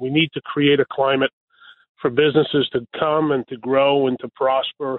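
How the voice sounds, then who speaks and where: In a New York accent, a man talks at a moderate pace. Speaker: local politician. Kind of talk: radio interview. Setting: phone call.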